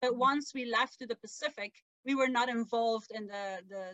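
A woman with a Flemish accent talks at a fairly quick pace in a fairly high pitch, her tone bright and sharp, the sound dry and close with no echo. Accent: Belgian Dutch-accented English. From Belgium. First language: Dutch. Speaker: author and sailor. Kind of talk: casual interview. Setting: video call from camper van.

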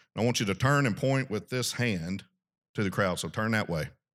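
A man with a Southern US accent, moderate pace and ordinary pitch variation, on a very clean recording with a silent background. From US South, South Arkansas. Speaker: ministry regional director. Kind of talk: talk at a men's retreat. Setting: stage with audience.

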